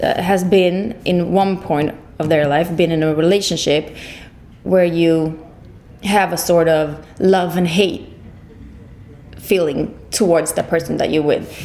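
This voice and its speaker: This woman talks with a fairly low pitch and a monotone, flat delivery. She leaves long, frequent pauses, and the room echo is audible. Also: fairly slow pace. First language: Swedish. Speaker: singer. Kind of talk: interview. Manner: halting.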